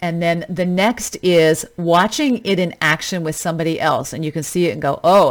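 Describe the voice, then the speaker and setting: In a Western Canadian accent, a woman speaks with a fairly low pitch and fairly even intonation. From Canada, British Columbia. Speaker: fitness coach podcast host. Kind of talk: solo podcast monologue. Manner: casual, conversational.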